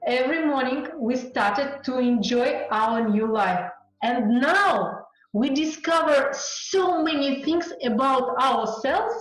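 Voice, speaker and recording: A woman speaks at a very slow pace in a high pitch, her intonation lively and her loudness very even. Noticeable background noise runs underneath. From Uzbekistan. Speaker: radio news journalist. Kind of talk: interview answer.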